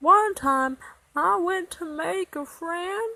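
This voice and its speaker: This is a put-on character voice. It speaks at a very slow pace. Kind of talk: children's advice monologue to camera.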